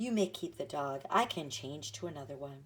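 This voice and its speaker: It's a put-on character voice. Delivery comes at a moderate speed. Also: female-sounding voice. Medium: read story. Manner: laughing, light.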